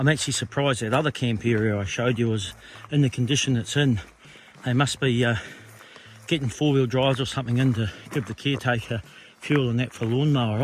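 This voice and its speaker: This man's medium-pitched voice moves at a fairly quick pace with fairly even intonation. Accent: New Zealand. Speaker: long-distance hiker vlogger. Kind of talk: casual vlog narration. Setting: outdoors on a hiking trail.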